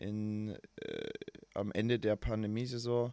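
A man speaking at a very slow pace. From Bavaria, Altötting area. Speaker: professional football goalkeeper. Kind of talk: casual interview chat. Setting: remote call from abroad.

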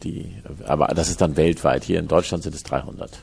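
A man's dark, mellow tone with vocal fry. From Hamburg, northern Germany. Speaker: company executive. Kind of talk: interview. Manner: halting.

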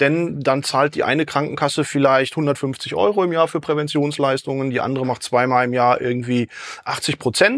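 Over a quiet background, a man with a fairly high pitch talks at a moderate pace in a plain, everyday voice with ordinary pitch variation. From Dortmund, Ruhr area, Germany. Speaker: health consultant, sports scientist. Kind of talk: podcast interview.

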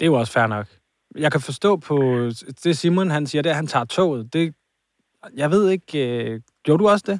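A man speaks fairly quickly in a fairly high pitch with lively intonation and long, frequent pauses. The recording is very clean, with a silent background and a dry, close sound with no echo. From Copenhagen area (Hvidovre). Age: 30s. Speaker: podcast co-host. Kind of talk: casual chat.

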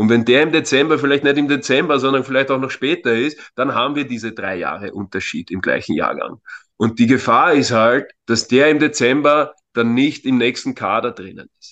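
Speaking at a moderate pace, a man with a normal speaking voice and medium pitch shows big swings in loudness and ordinary pitch variation. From Austria, Vienna area. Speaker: youth football coach. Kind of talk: interview. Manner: frequent filler words.

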